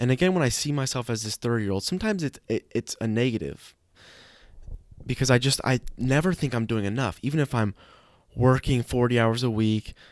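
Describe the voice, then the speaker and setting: The recording is very clean with a silent background and a dry, close sound with no echo, as a man of medium pitch talks at a fairly quick pace with ordinary pitch variation. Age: 20s. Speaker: podcast host. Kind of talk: casual monologue. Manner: halting.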